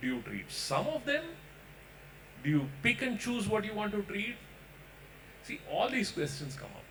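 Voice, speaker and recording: A man keeps a moderate speed while background noise is clearly audible. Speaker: doctor panelist. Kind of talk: panel discussion. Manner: loud.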